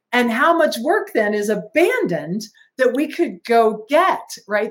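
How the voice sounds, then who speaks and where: A woman speaks with lively intonation. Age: 60s. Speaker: franchise company president. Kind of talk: casual chat.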